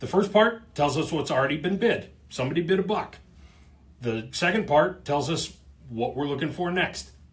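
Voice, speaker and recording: A man with an ordinary speaking voice, fairly high in pitch, at a moderate pace with lively intonation. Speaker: company video host / explainer about auctioneering. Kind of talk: casual explainer talking to camera. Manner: conversational, humorous.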